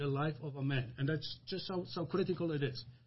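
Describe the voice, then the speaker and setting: This man has an unremarkable speaking voice, pitched fairly high. He moves at a moderate pace with ordinary pitch variation. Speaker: church deacon. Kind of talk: religious discussion podcast.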